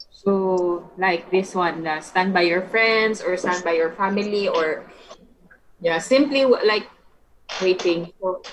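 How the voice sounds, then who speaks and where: A woman speaks at a very slow pace with ordinary pitch variation. Light background noise can be heard. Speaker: English conversation tutor. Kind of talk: online English conversation lesson. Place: home room. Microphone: video call.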